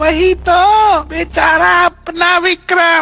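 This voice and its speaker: An extremely high-pitched, cartoonish character voice. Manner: sly, chatty.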